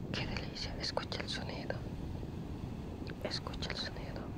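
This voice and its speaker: The sound is dry with no echo. Loud background noise is present. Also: man. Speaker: ASMR creator. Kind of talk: ASMR vlog talk to viewer. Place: beach. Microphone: phone near.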